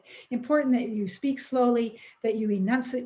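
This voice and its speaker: Somewhat breathy and dark, mellow in tone, a woman with a Canadian accent speaks at a fairly quick pace with fairly even intonation. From Alberta, Canada. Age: 70s. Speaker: retired teacher presenting a seniors project. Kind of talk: webinar presentation. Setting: online webinar. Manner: fast.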